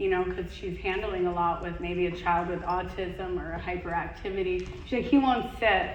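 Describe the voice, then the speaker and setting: A woman with a medium pitch talks at a fairly quick pace, with audible room echo and noticeable background noise. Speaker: conference speaker. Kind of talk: Q&A at conference talk. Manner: animated.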